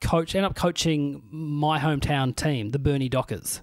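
A man speaks at a moderate pace with an Australian accent and a fairly high pitch. The recording is very clean and dry, with a silent background and no echo. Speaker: comedian and podcast host. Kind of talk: casual chat.

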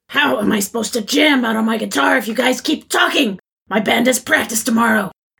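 A woman puts on a character voice, fairly high in pitch and fairly bright in tone, with a husky, rough edge and vocal fry. She talks at a fairly quick pace with ordinary pitch variation.

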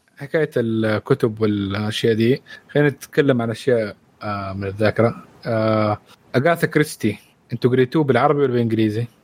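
Recorded with a dry, close sound and no echo, a man with a plain, everyday voice speaks at a moderate pace and medium pitch with ordinary pitch variation. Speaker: guest, movie fan. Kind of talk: casual chat.

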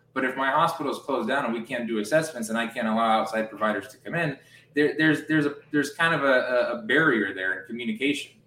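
Over noticeable background noise, a man with an American accent and medium pitch talks at a very fast pace. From US, family from Romania. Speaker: healthcare tech founder. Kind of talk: interview. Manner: repetitive, stammering restarts.

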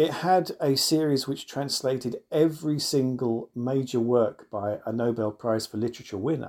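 The man uses a normal speaking voice at a medium pitch. His pitch variation is ordinary. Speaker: professor. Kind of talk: panel discussion.

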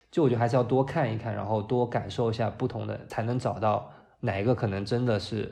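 At a fairly quick pace, a man speaks at a medium pitch with fairly even intonation. His dark, mellow tone carries some vocal fry. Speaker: designer. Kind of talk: casual chat.

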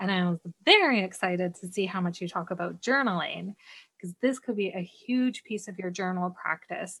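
A woman with a Canadian accent, an unremarkable speaking voice, medium pitch and ordinary pitch variation, in a dry, close sound with no echo. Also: moderate pace. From Canada. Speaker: decluttering coach. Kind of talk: casual interview chat.

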